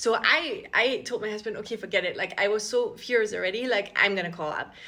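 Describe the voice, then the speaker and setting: A woman with an Austrian accent speaks at a very fast pace in a fairly high, bright, sharp voice with ordinary pitch variation. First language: German. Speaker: content creator. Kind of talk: casual vlog storytelling. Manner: chatty, many fillers.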